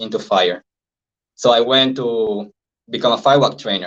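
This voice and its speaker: With ordinary pitch variation, a man with a Venezuelan accent talks at a moderate pace and medium pitch. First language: Spanish. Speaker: life coach and hypnosis trainer. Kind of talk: interview.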